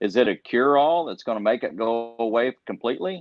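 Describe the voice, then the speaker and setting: Talking at a fairly quick pace, a man with an American accent uses a plain, everyday voice in a medium pitch with ordinary variation. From Iowa. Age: 60s. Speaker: professional tournament angler. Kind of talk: podcast interview.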